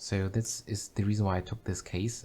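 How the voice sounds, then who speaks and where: A man with a German accent speaks at a fairly slow pace in a fairly low voice, recorded very cleanly against a silent background. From Germany. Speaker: video game streamer. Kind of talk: casual livestream commentary. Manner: halting, many fillers and repetitions.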